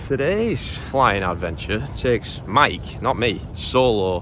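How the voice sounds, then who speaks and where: A man's fairly low voice at a very slow pace, dry with no echo, amid noticeable background noise. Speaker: flight instructor vlogger. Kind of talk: casual vlog chat. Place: open country. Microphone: phone near.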